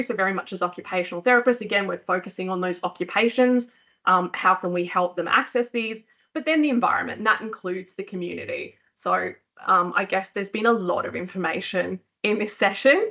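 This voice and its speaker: Speaking at a fairly quick pace, a woman with an Australian accent has a bright, sharp tone and ordinary pitch variation. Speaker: occupational therapist, clinic founder. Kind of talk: professional webinar talk. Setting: live webcast session. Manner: fast.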